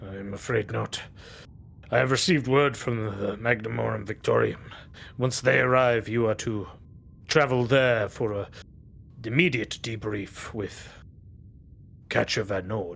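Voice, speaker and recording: A man's put-on character voice at a medium pitch, fairly slow, with long, frequent pauses and clear background noise. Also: ordinary pitch variation. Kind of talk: imperial officialese. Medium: actual play. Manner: formal, clipped, composed.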